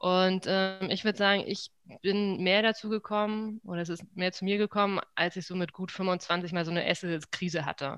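A woman's flat, monotone voice at a moderate pace. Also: medium pitch for a woman. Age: 30s. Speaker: feng shui consultant. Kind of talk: interview conversation.

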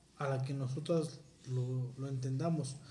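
In a space with audible room echo, a man talks at a fairly slow pace. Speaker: podcast host. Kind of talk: casual chat.

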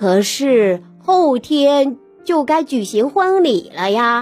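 A female-sounding, put-on character voice, high in pitch, drawls at a very slow pace over faint music in the background. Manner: worried, distressed.

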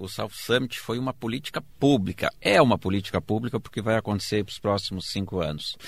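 A man speaks in an ordinary speaking voice at a fairly low pitch and a fairly quick pace. His loudness swings a lot, while his pitch varies an ordinary amount. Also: hardly any pauses. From southern Brazil, Rio Grande do Sul interior (Erechim). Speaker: state secretary of innovation, professor. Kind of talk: interview.

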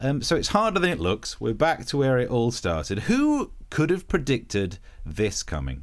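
The moderate pace of speech comes through on a very clean recording with a silent background. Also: man. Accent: slight East Midlands. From Nottinghamshire, England. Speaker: comedian and podcast host. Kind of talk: casual chat, comedy banter.

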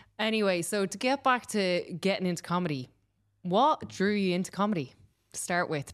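A fairly low-pitched woman with an Irish accent, at a moderate pace. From Ireland. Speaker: podcast host. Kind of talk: casual chat. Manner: animated.

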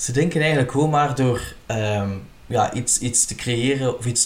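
A man speaks at a medium pitch and moderate pace. His pitch varies in an ordinary way, with noticeable background noise behind him. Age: 30s. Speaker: podcast host, retired drag queen. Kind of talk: casual interview chat.

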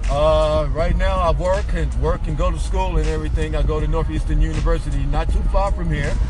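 Over noticeable background noise and audible room echo, a man talks at a fairly quick pace with hardly any pauses and very even loudness. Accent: American. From US Midwest, Chicago South Side. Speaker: university student. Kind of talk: casual chat. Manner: halting.

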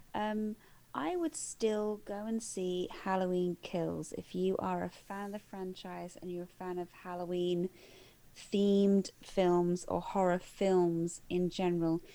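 Slow-paced at a fairly slow rate, a woman with an English accent speaks at medium pitch in a dark, mellow tone. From England. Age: 30s. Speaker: film podcast co-host. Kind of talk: casual chat. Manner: animated.

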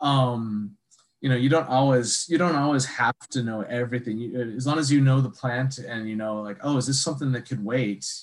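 A moderate pace in an American accent, with fairly even intonation. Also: man, medium pitch for a man. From Wisconsin, Sheboygan. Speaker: foraging instructor. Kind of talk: casual interview chat.

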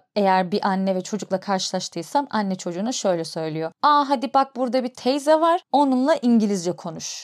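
In a very clean recording with a silent background and a dry, close sound with no echo, a woman speaks fairly quickly at medium pitch with very wide pitch swings. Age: 30s. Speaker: podcast host. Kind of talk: personal storytelling monologue. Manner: conversational.

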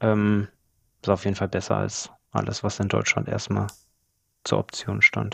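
A man talking at a fairly slow pace with long, frequent pauses against a quiet background. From Germany, Allgäu (Bavarian Swabia). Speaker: property flipper. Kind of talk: interview.

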